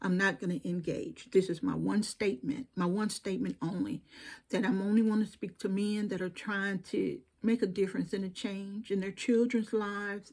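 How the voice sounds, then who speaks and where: A woman with a Southern US accent and a medium pitch sounds somewhat breathy, with ordinary pitch variation, in a very clean recording over a silent background. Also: moderate pace. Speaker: YouTube commentator. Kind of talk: direct-to-camera monologue. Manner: animated.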